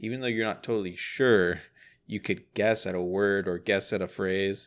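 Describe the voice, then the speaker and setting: Recorded very cleanly against a silent background, a man with an ordinary speaking voice talks at a moderate pace, fairly low in pitch with fairly even intonation. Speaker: podcast co-host. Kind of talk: casual chat.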